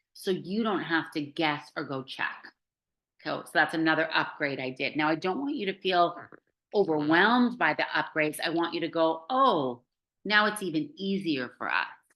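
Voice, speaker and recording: This woman's fairly low-pitched voice carries lively intonation. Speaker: online course coach. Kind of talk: live group video call tutorial. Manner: fast; casual, filler-heavy.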